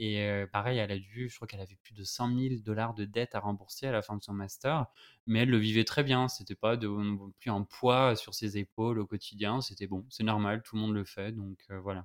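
Speaking at a fairly low pitch and moderate pace, a man keeps his intonation fairly even. His loudness swings widely on a very clean recording with a silent background. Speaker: podcast host. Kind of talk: interview conversation. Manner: hesitant, many fillers.

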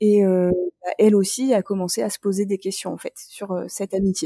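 A woman speaks at a medium pitch with fairly even intonation and a dark, mellow tone, the sound dry and close with no echo. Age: 30s. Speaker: graphic designer and school teaching assistant. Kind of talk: casual interview, personal story. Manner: hesitant, many fillers.

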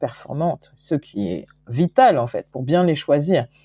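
This woman has a very deep, low pitch and lively intonation. She talks at a very slow pace. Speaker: entrepreneur and investor. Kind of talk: interview.

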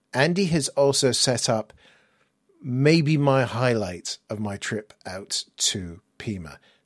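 With an English accent, a man speaks at medium pitch with lively intonation on a very clean recording with a silent background. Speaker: podcast host. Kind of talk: casual interview chat.

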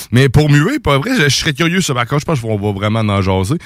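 On a very clean recording with a silent background, a man with a Quebec accent speaks with lively intonation. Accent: Québécois French. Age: 30s. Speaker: radio host. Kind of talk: casual chat. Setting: studio.

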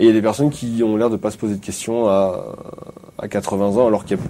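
A man's fairly low voice at a fairly quick pace, with fairly even intonation and noticeable background noise. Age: 30s. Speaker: physiotherapist. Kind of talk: casual chat.

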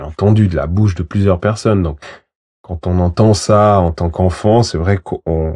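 A man with a very deep, low pitch and a dark, mellow tone talks at a moderate pace with ordinary pitch variation, the sound dry and close with no echo and the background quiet. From Switzerland, Valais. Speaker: lawyer, former professional footballer. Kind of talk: interview. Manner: halting, many repetitions.

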